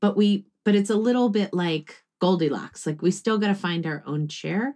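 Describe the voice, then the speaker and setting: Using an ordinary speaking voice, this woman lets her pitch vary in an ordinary way. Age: 40s. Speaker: grief therapist and author. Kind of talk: casual interview.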